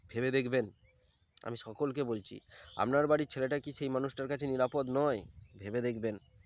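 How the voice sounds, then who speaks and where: A man with a plain, everyday voice at medium pitch, fairly even intonation, and a very clean recording with a silent background. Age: 30s. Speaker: vlogger. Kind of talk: personal vlog monologue.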